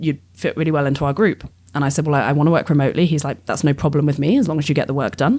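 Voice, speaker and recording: A woman speaks very fast in an English accent. Her voice is very deep and low. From England. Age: 30s. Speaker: astrophysics PhD student. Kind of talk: casual interview chat.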